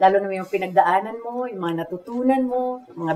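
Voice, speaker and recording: A woman with an unremarkable speaking voice talks at a moderate pace and medium pitch, with ordinary pitch variation over light background noise. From Philippines. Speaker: talk show host. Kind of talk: interview. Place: home room.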